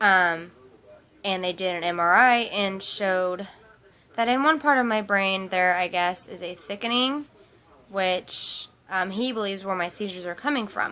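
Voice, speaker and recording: Speaking at a moderate pace, a woman with an American accent uses a medium pitch, ordinary pitch variation and a bright, sharp tone. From US Midwest, Topeka, Kansas. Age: 20s. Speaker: vlogger. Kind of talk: personal testimony vlog. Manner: hesitant, many fillers.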